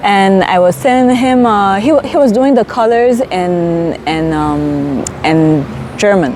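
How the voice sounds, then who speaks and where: Over noticeable background noise and audible room echo, a woman speaks at a very slow pace at medium pitch, her pitch swinging very widely while her loudness stays very even. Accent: Saint Martin. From Saint Martin. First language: French. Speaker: storyteller. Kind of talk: interview. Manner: hesitant with fillers.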